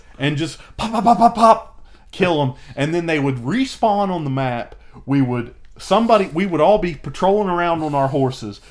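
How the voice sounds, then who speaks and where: Loud and high-pitched, a man's voice swings very widely in pitch. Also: moderate pace. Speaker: podcast co-host. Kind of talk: casual chat.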